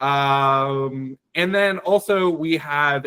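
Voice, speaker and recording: At medium pitch, a man speaks in a plain, everyday voice with ordinary pitch variation. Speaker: climate advocacy organizer. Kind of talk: online presentation to a meeting. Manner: many fillers (um, uh).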